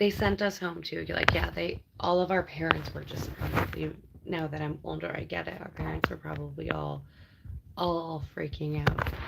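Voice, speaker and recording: A woman's loudness rises and falls in big swings. Background noise is noticeable. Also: moderate pace. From Canada, Ontario. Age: 30s. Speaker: live streamer. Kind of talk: casual chat. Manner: animated.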